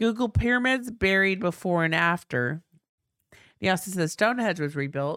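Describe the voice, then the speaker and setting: An ordinary speaking voice from a woman, medium in pitch with lively intonation, on a very clean recording with a silent background. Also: moderate pace. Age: 50s. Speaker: podcast co-host. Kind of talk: casual chat.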